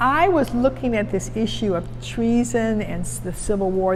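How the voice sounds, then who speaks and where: Noticeable background noise around a woman's moderate-paced speech. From Cleveland, Ohio. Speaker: retired judge and legal historian. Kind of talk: interview answer.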